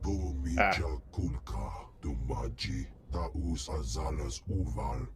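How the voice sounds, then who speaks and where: A man growls in a very deep, low put-on character voice at a very slow pace over loud background noise. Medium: video game.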